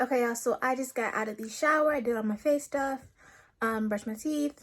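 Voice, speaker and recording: A woman with a high pitch talks at a fairly quick pace using ordinary pitch variation. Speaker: vlogger. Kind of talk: casual vlog. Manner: fast.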